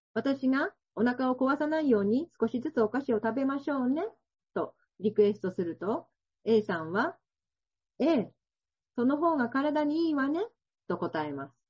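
Speaking at a moderate pace in a high voice, a woman makes very wide pitch swings and big swings in loudness, with long, frequent pauses. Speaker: welfare organization head. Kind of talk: seminar talk. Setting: video call.

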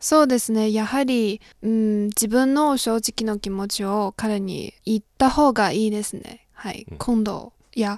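Speaking in a Chinese accent, a woman with a fairly high-pitched voice talks at a fairly slow pace with hardly any pauses. Her intonation is fairly even, and the background is quiet. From China, Shandong. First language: Chinese (speaking Japanese). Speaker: graduate student of Japanese, intern. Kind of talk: advice-seeking interview, personal story.

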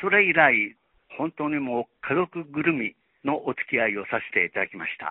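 Lively intonation at a moderate pace. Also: man, fairly high pitch for a man. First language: Chinese (speaking Japanese). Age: 80s+. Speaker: retired journalist. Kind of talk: tribute testimony.

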